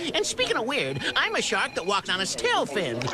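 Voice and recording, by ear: Over loud background noise, a cartoonish character voice moves at a moderate pace.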